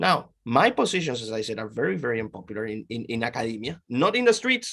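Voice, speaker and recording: Speaking very fast with a Peruvian accent, a man swings widely in loudness. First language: Spanish. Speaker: professor. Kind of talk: interview.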